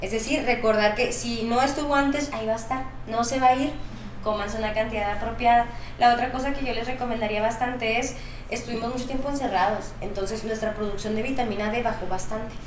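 With audible room echo and noticeable background noise, a woman speaks very fast at a fairly high pitch with fairly even intonation. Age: 20s. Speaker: nutritionist. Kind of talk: interview.

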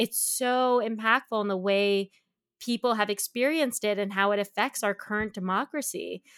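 In a normal speaking voice, a woman talks at a moderate pace and a fairly high pitch, with ordinary pitch variation and a dry, close sound with no echo. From Canada. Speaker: tech nonprofit executive. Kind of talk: interview conversation.

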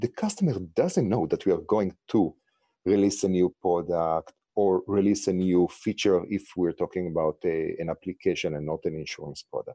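With an Israeli accent, a man talks at a moderate pace in a dry, close recording with no echo and a quiet background. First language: Hebrew. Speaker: startup founder. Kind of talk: interview.

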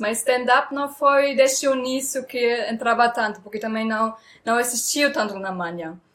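A woman speaks with a German accent. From Germany. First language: German (speaking Portuguese). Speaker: comedian. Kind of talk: casual interview. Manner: halting.

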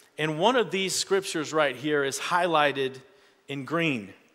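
A man speaks in a normal speaking voice at a moderate pace, with a fairly high pitch and ordinary pitch variation. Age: 40s. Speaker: pastor. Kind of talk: sermon.

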